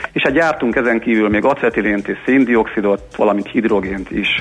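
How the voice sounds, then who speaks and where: Noticeable background noise sits behind a man speaking at a medium pitch and a moderate pace with fairly even intonation. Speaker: industrial gas company director. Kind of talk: radio interview. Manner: formal, explanatory.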